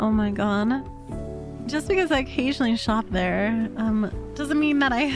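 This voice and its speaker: Clear music plays behind a woman who speaks at a fairly slow pace with very even loudness in a dry sound with no echo. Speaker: vtuber streamer. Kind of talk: casual stream talk. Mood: playful, teasing.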